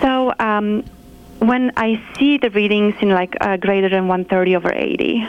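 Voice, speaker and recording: A woman with a Polish accent and medium pitch speaks at a fairly slow pace. Her loudness stays very even, and her pitch varies in an ordinary way. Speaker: nurse practitioner. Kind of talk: interview.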